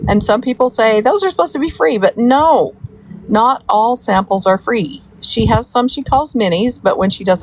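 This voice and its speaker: A woman's voice, with very wide pitch swings at a moderate pace, comes through noticeable background noise. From US South (Georgia, Florida), born in Wyoming. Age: 60s. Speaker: livestreamer, mother of a soap maker. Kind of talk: casual livestream chat reading comments. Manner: rambling, with many fillers.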